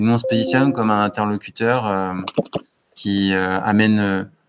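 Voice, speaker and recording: His intonation fairly even, a man speaks at a fairly low pitch. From western France, Anjou. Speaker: entrepreneur. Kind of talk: casual interview.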